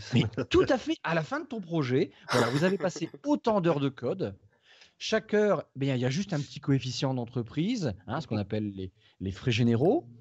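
With a northern French accent, a man speaks in an animated, somewhat breathy voice, fairly high in pitch, with very wide pitch swings at a moderate pace. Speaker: tech podcast co-host. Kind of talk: casual tech discussion with guided software walkthrough.

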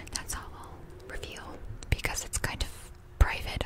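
Whispering, a woman keeps to a moderate pace. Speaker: ASMR creator. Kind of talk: ASMR personal facts talk. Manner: whispered. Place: home room. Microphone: studio mic.

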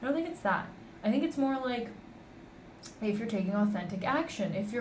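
A woman with a Canadian accent speaks fairly high in pitch with lively intonation, over noticeable background noise and audible room echo. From Canada. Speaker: podcast host. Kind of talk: casual monologue. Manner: conversational, unscripted.

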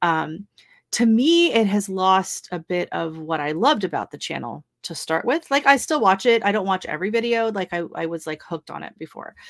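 In a normal speaking voice with an American accent, a woman talks at a fairly quick pace and medium pitch with lively intonation and big swings in loudness, the sound dry and close with no echo. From US Pacific Northwest. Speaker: YouTuber and gardener. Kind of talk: casual chat. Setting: video call livestream.

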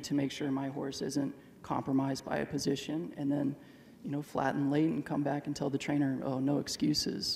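With an American accent, a man talks in a normal speaking voice at a fairly quick pace, with a fairly high pitch and fairly even intonation, over light background noise. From Texas. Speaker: jockey; interviewee. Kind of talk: live interview with audience. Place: stadium. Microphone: handheld.

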